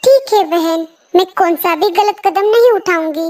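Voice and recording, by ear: A woman's squeaky, cartoonish character voice at an extremely high pitch and a moderate pace.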